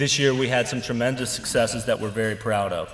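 A man talks with ordinary pitch variation, and audible room echo can be heard. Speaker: organization leader giving annual report. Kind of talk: formal speech. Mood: grateful, upbeat. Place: hall. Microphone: podium.

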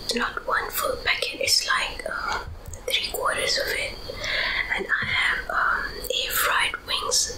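A soft-spoken woman whispers at a very slow pace. Noticeable background noise sits behind her. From Australia. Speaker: ASMR mukbang creator. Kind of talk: casual talk to camera. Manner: soft-spoken, whispering. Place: home room.

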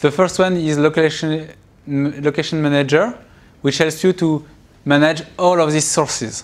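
With a French accent, a man speaks at a fairly high pitch and moderate pace, his intonation fairly even. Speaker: university computer science lecturer. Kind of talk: recorded university lecture. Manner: hesitant, many filler sounds. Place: classroom.

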